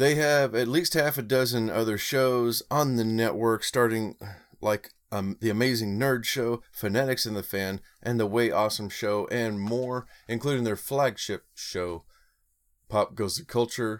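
In a very clean recording with a silent background, a man speaks fairly slowly at a medium pitch with ordinary variation. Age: 40s. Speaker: podcast host. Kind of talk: podcast intro monologue; podcast interview. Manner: animated.

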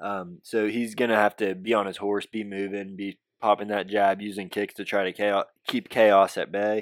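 At a moderate pace, a man comes across with a dry, close sound with no echo on a very clean recording with a silent background. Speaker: MMA fight preview podcaster. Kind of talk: casual fight predictions monologue. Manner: casual, hesitant with fillers.

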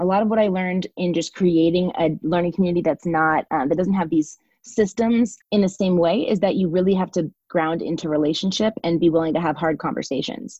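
A woman with an American accent uses a normal speaking voice at a medium pitch. She keeps a moderate pace with hardly any pauses and ordinary pitch variation. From Texas, Dallas Fort Worth. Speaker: educator, learning community founder. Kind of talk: casual interview.

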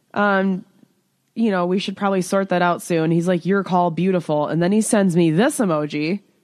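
A woman speaks at a medium pitch in a normal speaking voice, with very even loudness and fairly even intonation. Her pace is moderate, and the background is quiet. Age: 30s. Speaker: podcast co-host. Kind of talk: casual chat.

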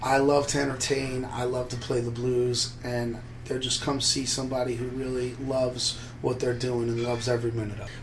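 In a flat monotone, a man talks at a fairly quick pace, with audible room echo and music in the background. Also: medium pitch for a man. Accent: American. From New Jersey, Trenton. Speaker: blues harmonica player and bandleader. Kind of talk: interview.

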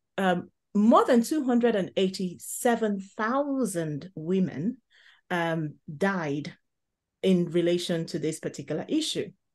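With a Nigerian accent, this voice speaks at a very slow pace with lively intonation over a quiet background. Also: woman, medium pitch for a woman. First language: Igbo. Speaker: podcast host, healthcare worker. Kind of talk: casual chat.

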